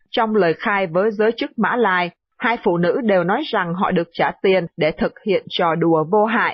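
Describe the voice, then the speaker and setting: A woman with an ordinary speaking voice talks at a moderate pace and medium pitch, with very even loudness and hardly any pauses. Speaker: radio news presenter. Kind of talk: news reading.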